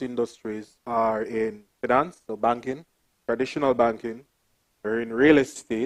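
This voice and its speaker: A man talks with a Jamaican accent. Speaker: development bank investment officer, panelist. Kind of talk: panel talk.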